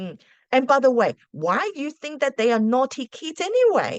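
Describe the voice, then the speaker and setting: Dry, close sound with no echo, carrying a woman's voice with a non-native accent. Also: quiet background. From Australia, arrived at 13 from a non-English-speaking country. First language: not English. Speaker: school principal and teacher. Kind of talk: casual advice talk to camera. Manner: hesitant, with many fillers.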